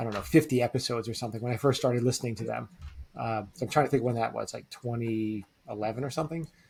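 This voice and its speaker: The voice is somewhat breathy, moving at a very fast pace with ordinary pitch variation. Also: man, medium pitch for a man. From US, French-Canadian immigrant family from Quebec. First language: French. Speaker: real estate investor. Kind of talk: podcast interview. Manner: conversational, many fillers.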